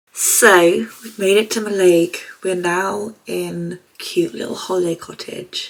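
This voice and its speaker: A woman's quiet, raspy, put-on character voice, fairly low in pitch, at a fairly slow pace with big swings in loudness. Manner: talking quietly.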